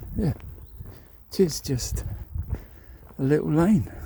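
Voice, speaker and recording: A man's somewhat breathy voice, fairly slow in pace, with very wide pitch swings. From Sussex. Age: 60s. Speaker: walking vlogger. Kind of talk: casual walking vlog narration. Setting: outdoors on a country walk. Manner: relaxed, with many fillers and hesitations.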